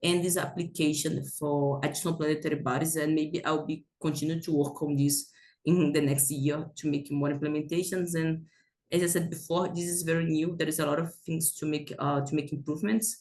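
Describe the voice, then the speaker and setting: A fairly quick pace with a non-native accent. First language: not English. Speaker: planetary science researcher. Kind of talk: conference presentation. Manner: halting, many fillers.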